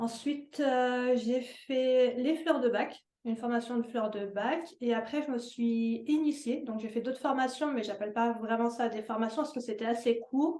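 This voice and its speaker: A woman talks at a fairly slow pace with hardly any pauses, her high-pitched voice keeping a fairly even intonation. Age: 30s. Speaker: holistic wellness entrepreneur. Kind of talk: interview. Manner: hesitant, many fillers.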